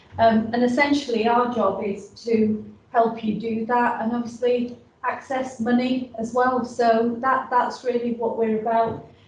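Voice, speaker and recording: A woman with a Yorkshire accent speaks high-pitched and at a fairly slow pace. Her intonation is monotone and flat, and the room echo is audible. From northern England, Yorkshire. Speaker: business support advisor. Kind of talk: presentation. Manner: halting, many fillers.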